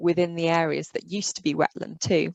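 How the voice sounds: A woman's fairly low voice with vocal fry, little pitch movement, a moderate pace, and a dry, close sound with no echo.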